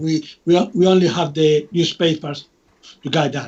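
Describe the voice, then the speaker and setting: With a Spanish accent, a man speaks at a high pitch and fairly slow pace with fairly even intonation. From Spain. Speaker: UFO researcher and author. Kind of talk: interview. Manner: halting, many restarts and fillers.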